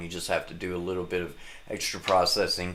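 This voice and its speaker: The man talks fairly quickly. His voice carries an audible echo from the room. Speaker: musician and home studio producer. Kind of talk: live stream tutorial. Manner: casual; halting with frequent fillers. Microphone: condenser microphone with new pop filter.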